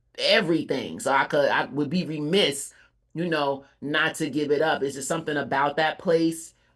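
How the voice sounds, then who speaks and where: A woman with a very deep, low voice speaks with fairly even intonation against a quiet background. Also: moderate pace. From Atlanta area, Georgia (Cobb County). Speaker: rapper. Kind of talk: interview. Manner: casual, conversational.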